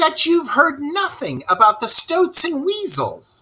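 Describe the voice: A man performs a put-on character voice at extremely high pitch, slow in pace. His bright, sharp tone leaps through very wide pitch swings.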